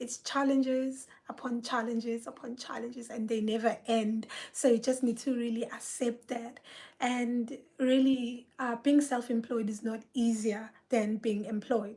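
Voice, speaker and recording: This woman's voice is loud and high-pitched, with a dark, mellow tone. She speaks at a fairly slow pace in a monotone, flat delivery. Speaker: artist and speech therapist. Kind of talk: solo live video monologue. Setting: private live video.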